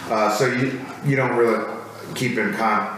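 Noticeable background noise runs under a man talking with an American accent. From Minnesota, US Midwest (Minneapolis). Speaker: Marine veteran and comedy writer. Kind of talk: casual interview chat.

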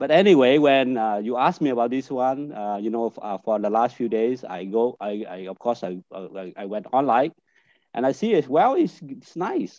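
With a Vietnamese accent, a man talks at a medium pitch and a moderate pace, in a dark, mellow tone with lively intonation. The sound is dry and close with no echo, over a quiet background. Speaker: business network director. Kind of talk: panel discussion. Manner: halting.

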